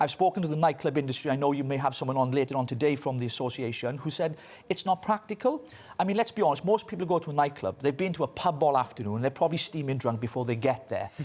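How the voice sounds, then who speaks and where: A very fast-talking man with a fairly high pitch and lively intonation. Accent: Welsh. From Wales. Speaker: political commentator. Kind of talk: news interview.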